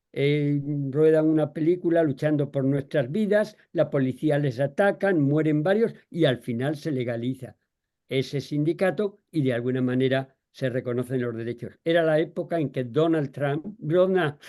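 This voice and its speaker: In a quiet background, a man with fairly high pitch and a dark, mellow tone talks at a moderate pace with ordinary pitch variation. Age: 80s. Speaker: agronomist, panel guest. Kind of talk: panel discussion.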